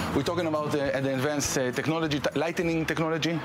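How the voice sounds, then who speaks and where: A man's voice over noticeable background noise. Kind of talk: interview answer. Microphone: lapel.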